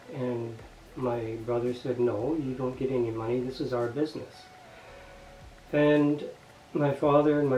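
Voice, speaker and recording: Background noise is noticeable as a man speaks at a medium pitch and a fairly slow pace. His intonation is fairly even, with long, frequent pauses. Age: 60s. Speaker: retiree. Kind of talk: personal testimony.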